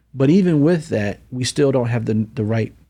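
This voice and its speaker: The speaker is a man with a dark, mellow tone. The background is quiet. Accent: American. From upstate New York (Syracuse). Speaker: nonprofit CEO and mentoring advocate. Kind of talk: interview. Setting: studio, in person.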